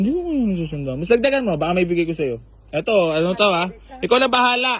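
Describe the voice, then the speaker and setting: Loud and very fast, a man talks with lively intonation. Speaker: used car dealer and vlogger. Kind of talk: vlog address to viewers; casual haggling chat. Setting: garage, outdoors. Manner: animated.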